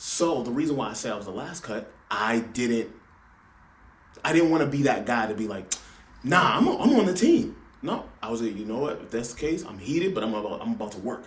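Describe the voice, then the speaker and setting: A man with an American accent, medium pitch and lively intonation, at a fairly quick pace, with audible room echo and noticeable background noise. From Los Angeles. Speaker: podcast guest, former college basketball hopeful. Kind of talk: casual chat.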